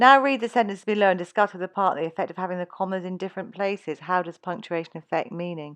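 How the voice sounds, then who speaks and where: A woman talks very fast at a medium pitch with ordinary pitch variation, her voice sounding dry and close with no echo. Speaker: English tutor. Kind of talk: lecture.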